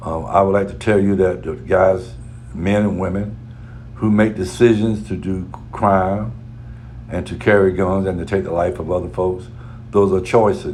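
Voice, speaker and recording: A man's very deep, low voice with lively intonation, long and frequent pauses, noticeable background noise and audible room echo. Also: moderate pace. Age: 60s. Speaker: radio talk show host. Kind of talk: radio commentary.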